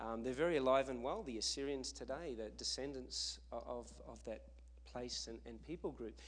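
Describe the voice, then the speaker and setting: A man talks at a moderate pace. He speaks with an Australian accent. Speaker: missionary. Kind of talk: sermon. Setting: church.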